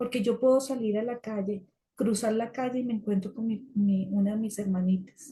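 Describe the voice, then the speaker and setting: A woman's fairly high, somewhat breathy voice has a dark, mellow tone and fairly even intonation. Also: moderate pace. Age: 60s. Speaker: support group speaker. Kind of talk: talk sharing personal experience.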